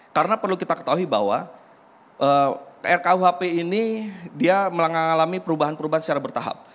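Talking at a fairly quick clip, a man uses a high voice with ordinary pitch variation. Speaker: member of parliament. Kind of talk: televised talk show debate. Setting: TV studio. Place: studio. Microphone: podium.

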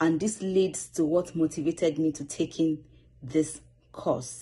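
A woman's somewhat breathy, dark and mellow voice, very deep and low, with a Nigerian accent, at a fairly slow pace over a quiet background. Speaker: student public speaker. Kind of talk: self-introduction video. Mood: earnest, motivated. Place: home room. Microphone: phone near.

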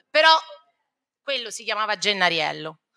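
A woman's raised, projected voice with a bright, sharp tone and very wide pitch swings, over a quiet background. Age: 50s. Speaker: primary school teacher. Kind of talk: talk to students; lecture. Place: hall. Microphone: podium.

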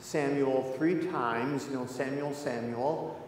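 A man at a fairly slow pace, fairly even intonation, audible room echo and light background noise. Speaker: pastor. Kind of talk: sermon. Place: church.

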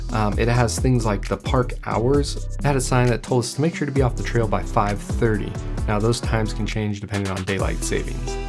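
A man at a fairly quick pace with hardly any pauses, clear music in the background. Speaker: hiking channel host. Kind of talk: trail review talk to camera. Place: studio.

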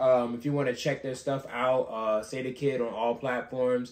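A man's monotone, flat delivery at a moderate pace, with audible room echo. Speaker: podcast co-host. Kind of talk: casual chat. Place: home room. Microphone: camera far.

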